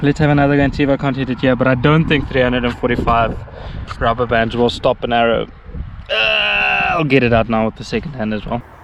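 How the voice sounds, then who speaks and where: Over noticeable background noise, a man with a medium-pitched voice talks at a very fast pace with ordinary pitch variation. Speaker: outdoors video creator, bowhunter. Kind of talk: casual vlog commentary. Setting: outdoors. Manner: loud, shouting at camera; halting, many fillers.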